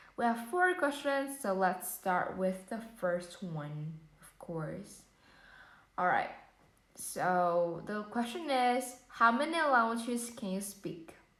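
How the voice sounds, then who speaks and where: A woman speaks at a very slow pace with a fairly high pitch, very wide pitch swings, and big swings in loudness. Audible room echo surrounds her voice. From Vietnam. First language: Vietnamese. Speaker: English learner practicing IELTS speaking. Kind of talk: exam speaking practice. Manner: hesitant with fillers.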